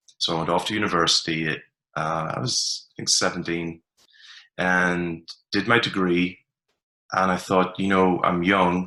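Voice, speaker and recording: A man's very deep, low voice with an Ulster accent, bright and sharp in tone, monotone and flat, at a fairly slow pace with long, frequent pauses, on a very clean recording with a silent background. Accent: Irish (Ulster border). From Ireland, border region. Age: 40s. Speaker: performance coach. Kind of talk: podcast interview.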